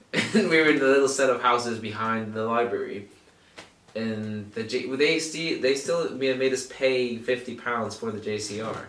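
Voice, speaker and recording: A man talks at a moderate pace with an American accent. His pitch is medium, and the room echo is audible. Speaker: podcast host. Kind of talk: casual chat. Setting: home recording in shared flat.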